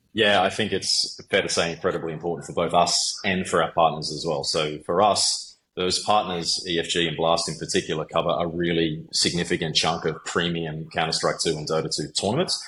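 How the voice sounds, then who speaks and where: Talking at a fairly quick pace with hardly any pauses, a man with an Australian accent has a very deep, low pitch, a bright, sharp tone and fairly even intonation. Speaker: sales executive. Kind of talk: interview. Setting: podcast.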